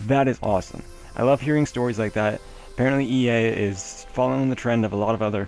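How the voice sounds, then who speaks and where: Music plays behind a man speaking at a very fast pace and medium pitch. His loudness stays very even and his intonation fairly even. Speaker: gaming news host. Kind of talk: news roundup commentary. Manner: casual, with filler words.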